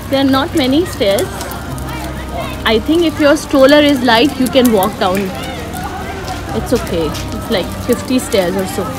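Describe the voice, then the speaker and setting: A woman with a high pitch speaks with long, frequent pauses as music plays in the background. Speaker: family travel vlogger. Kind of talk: casual vlog chat. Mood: relaxed, chatty. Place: street. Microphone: phone near.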